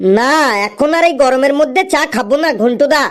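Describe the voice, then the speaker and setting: In a cartoonish character voice, the speaker moves at a fairly quick pace with very even loudness and ordinary pitch variation. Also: woman, high pitch for a woman. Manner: rambling, roundabout.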